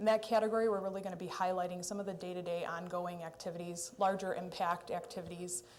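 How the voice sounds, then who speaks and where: A woman speaks at a medium pitch with fairly even intonation, and audible room echo surrounds her voice. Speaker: city administration official. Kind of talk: budget presentation at council meeting. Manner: loud.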